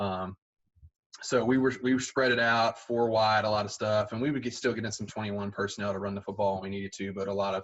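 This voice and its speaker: A man with a Southern US accent, fairly low pitch and fairly even intonation at a very fast pace. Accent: Southern US (Georgia). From Southwest Georgia, US South. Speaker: high school football coach. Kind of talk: podcast interview.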